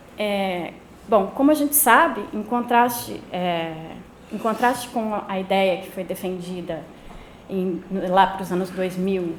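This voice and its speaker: A soft-spoken woman talks at a very slow pace, her loudness swinging widely, with audible room echo and noticeable background noise. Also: medium pitch for a woman, ordinary pitch variation. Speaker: anthropologist giving a talk. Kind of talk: academic lecture read from text. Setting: lecture room, no microphone. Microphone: no microphone.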